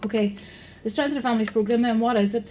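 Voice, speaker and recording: A woman speaks with a Northern Irish accent in a dark, mellow, somewhat breathy tone. Her intonation is fairly even, and audible room echo surrounds her. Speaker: programme manager, conference speaker. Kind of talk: conference presentation. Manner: fast.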